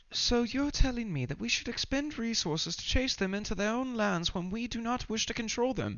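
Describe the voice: Squeaky and fairly high, a put-on character voice moves at a fairly quick pace.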